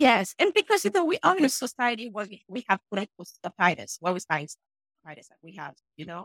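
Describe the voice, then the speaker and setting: Speaking at a very fast pace with a Haitian accent, a woman at medium pitch makes very wide pitch swings and big swings in loudness, recorded with a dry, close sound and no echo. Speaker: dentist and author. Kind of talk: casual interview.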